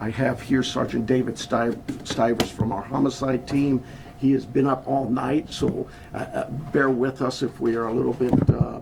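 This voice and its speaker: Over noticeable background noise, a man talks at a medium pitch in a monotone, flat delivery. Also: moderate pace. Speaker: sheriff. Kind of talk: press conference. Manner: soft-spoken; halting.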